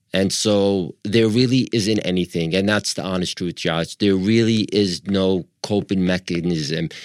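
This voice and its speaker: Someone with a New York accent speaks at a fairly slow pace with hardly any pauses and fairly even intonation. The sound is dry and close with no echo, on a very clean recording with a silent background. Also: man, very deep, low pitch for a man. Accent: New York American. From Long Island, New York. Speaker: wheelchair athlete guest. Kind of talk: interview.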